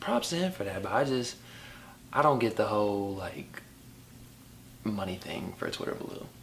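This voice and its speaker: A man at a medium pitch with lively intonation, speaking at a moderate pace with long, frequent pauses, amid noticeable background noise and audible room echo. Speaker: podcast co-host. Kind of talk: casual chat. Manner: stutters at times.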